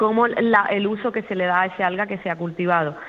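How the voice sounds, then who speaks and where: Her medium pitch and fairly even intonation carry a woman's speech along at a moderate pace. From Cádiz province, Andalusia, Spain. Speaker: marine biologist, aquaculture research manager. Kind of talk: interview. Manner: hesitant, many repetitions.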